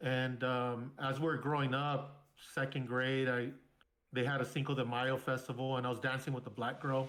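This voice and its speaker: With monotone, flat intonation, a man at medium pitch speaks at a moderate pace. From Southern California (San Bernardino). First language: Spanish. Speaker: military veteran. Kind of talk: casual interview, personal storytelling.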